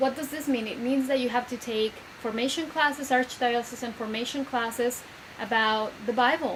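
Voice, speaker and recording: A woman's high voice with a Spanish accent and fairly even intonation at a moderate pace, with noticeable background noise and audible room echo. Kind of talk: video lecture. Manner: conversational, with many fillers.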